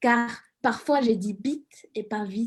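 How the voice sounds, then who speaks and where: A woman speaks with a Mexican accent and fairly even intonation. The recording is very clean, with a silent background. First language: Spanish (speaking French). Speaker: student radio columnist. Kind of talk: scripted radio column.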